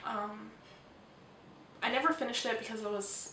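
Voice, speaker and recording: Soft-spoken and fairly high in pitch, a woman talks at a moderate pace with ordinary pitch variation. The recording carries audible room echo and noticeable background noise. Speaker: book vlogger. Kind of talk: casual video monologue. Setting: at home. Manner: hesitant, many ums.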